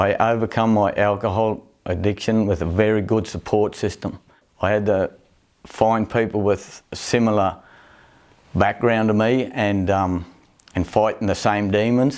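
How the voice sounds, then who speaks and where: With a strong Australian accent, a man speaks at a fairly low pitch with fairly even intonation and very even loudness. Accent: broad Australian. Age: 60s. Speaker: recovering alcoholic and rodeo rider. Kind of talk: documentary interview testimony.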